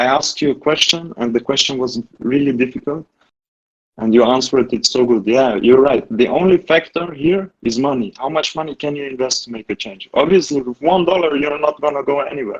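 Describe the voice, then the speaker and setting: A man with a non-native accent talks at a fairly quick pace, his pitch fairly high and his pitch variation ordinary. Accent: non-native English, says his English is bad. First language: not English. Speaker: community member asking for advice. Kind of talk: casual group discussion. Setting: Discord voice call. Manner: halting, with many restarts and fillers.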